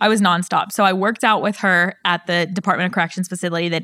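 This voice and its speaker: A woman's bright, sharp, medium-pitched voice with an American accent, very fast pace and fairly even intonation, on a very clean recording with a silent background. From Pittsburgh, Pennsylvania. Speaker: insurance agency owner. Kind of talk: interview.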